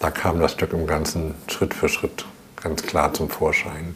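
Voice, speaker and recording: There is noticeable background noise in this clip. Over it, a man talks fairly slowly. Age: 60s. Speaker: choreographer and director. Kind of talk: interview.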